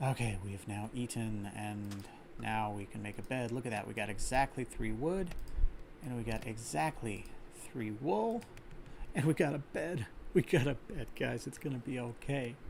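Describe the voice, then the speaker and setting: At a moderate pace, a man with an American accent speaks at medium pitch with ordinary pitch variation and vocal fry. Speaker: gaming streamer. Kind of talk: live gameplay commentary. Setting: live stream. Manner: casual, with fillers and restarts. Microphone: slight echo.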